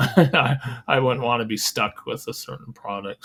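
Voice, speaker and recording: A man's voice with vocal fry, lively intonation, and a moderate pace. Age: 60s. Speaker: ultramarathon runner and running historian. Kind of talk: podcast interview. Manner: halting, many repeated words.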